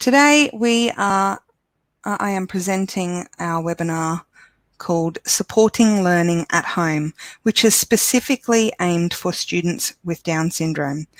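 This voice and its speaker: With an Australian accent, a woman speaks at medium pitch and a fairly slow pace with lively intonation and long, frequent pauses, in a dry, close sound with no echo. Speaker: education support officer presenting webinar. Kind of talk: webinar presentation. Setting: online webinar.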